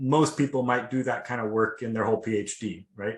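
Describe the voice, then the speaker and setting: At a moderate pace, a man talks with a slight Seattle accent and fairly even intonation. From US Pacific Northwest, Seattle. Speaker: PhD student. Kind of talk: webinar testimony. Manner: casual, many fillers.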